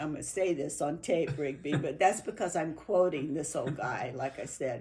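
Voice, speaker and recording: A woman talks at a moderate pace in a very deep, low pitch, with a dark, mellow tone and ordinary pitch variation. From New Mexico. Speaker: interviewee. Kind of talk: oral history interview. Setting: at a home. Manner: halting.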